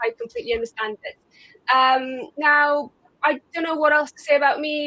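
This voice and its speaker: Her voice raised and projected, a woman speaks at a high pitch and a fairly quick pace with a bright, sharp tone, ordinary pitch variation and big swings in loudness, all in a dry, close sound with no echo. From Romania. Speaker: SEO consultant. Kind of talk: panel discussion.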